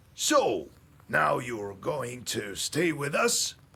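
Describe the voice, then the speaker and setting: A raspy man puts on a character voice with a warm tone. He talks at a very slow pace. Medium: video game. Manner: chuckling, warm.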